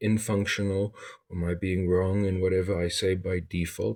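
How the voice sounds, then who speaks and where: A man with a South African accent talks at a moderate pace in a very deep, low pitch. His intonation is monotone and flat, on a very clean recording with a silent background. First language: Afrikaans. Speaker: vlogger. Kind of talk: monologue to camera.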